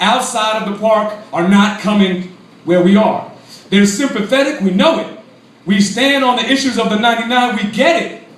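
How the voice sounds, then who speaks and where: Amid audible room echo and noticeable background noise, a man with a high pitch speaks at a moderate pace. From Brooklyn, New York City. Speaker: congressional candidate, activist. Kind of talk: political speech to a crowd. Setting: cafe event with audience. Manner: animated.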